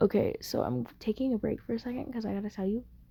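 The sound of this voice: Using a put-on character voice, a woman rattles along at a very fast pace, fairly high-pitched, raspy and hoarse.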